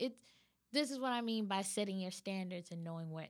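Speaking with an American accent, a woman talks at a fairly quick pace with ordinary pitch variation in an ordinary speaking voice. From California. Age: 30s. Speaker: actress and acting coach. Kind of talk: interview.

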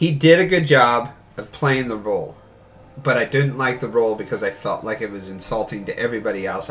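The speech moves at a fairly quick pace. Noticeable background noise runs behind it. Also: man. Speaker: podcast co-host. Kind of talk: casual banter about games and movies.

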